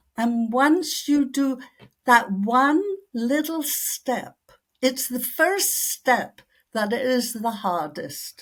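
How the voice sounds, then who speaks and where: A woman talks at a very slow pace in an American accent. Her pitch is high. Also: lively intonation. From outside the United States. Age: 80s+. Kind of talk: interview answer.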